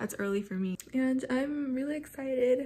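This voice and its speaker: A woman's dark, mellow, somewhat breathy voice. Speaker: vlogger. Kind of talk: casual vlog chat. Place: home room. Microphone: phone near.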